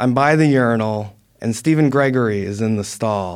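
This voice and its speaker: Here is a normal speaking voice with ordinary pitch variation. The recording is very clean, with a silent background. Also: man. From New Jersey. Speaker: former newspaper writer and poet. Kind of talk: interview storytelling.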